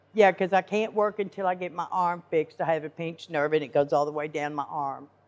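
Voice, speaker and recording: A woman's fairly low voice with a Southern US accent, very fast, with ordinary pitch variation and a quiet background. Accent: US South. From Arkansas (Fort Smith). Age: 60s. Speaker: homeless shelter resident. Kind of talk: interview.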